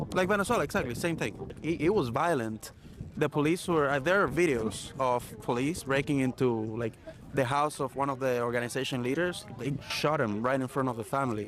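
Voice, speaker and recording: Against noticeable background noise, a man speaks at a fairly quick pace and medium pitch with ordinary pitch variation. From Cuba. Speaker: interviewee at a rally. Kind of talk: street interview. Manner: halting.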